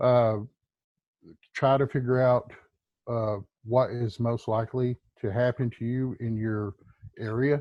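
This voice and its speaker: A man's medium-pitched voice at a very slow pace, broken by long, frequent pauses. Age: 50s. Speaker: preparedness YouTuber. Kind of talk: casual interview chat. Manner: hesitant, many fillers.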